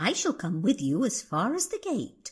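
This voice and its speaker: A woman speaks in a put-on character voice at a high pitch. Her pitch swings very widely at a moderate pace. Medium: read story. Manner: kind, gentle.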